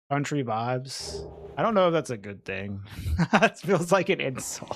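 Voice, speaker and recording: A man speaks at a moderate pace with a slight Southern US accent. His pitch swings very widely. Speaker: video game streamer. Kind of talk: live gaming stream chat. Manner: animated.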